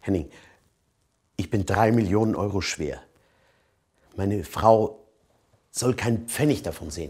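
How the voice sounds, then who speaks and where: A somewhat breathy man at fairly low pitch, fairly slow, with ordinary pitch variation against a quiet background. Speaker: actor playing wealthy client. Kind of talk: scripted drama dialogue. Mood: earnest, pleading, aggrieved. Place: home room.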